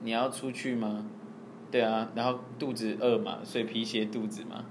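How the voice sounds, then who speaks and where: A man talks with a Taiwanese accent. The room gives an audible echo. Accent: Taiwanese Mandarin. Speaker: podcast co-host. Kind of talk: casual chat.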